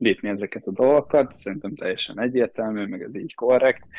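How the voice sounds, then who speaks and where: Using an ordinary speaking voice, a man talks at a fairly quick pace and medium pitch with ordinary pitch variation. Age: 20s. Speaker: swimmer. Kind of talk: interview.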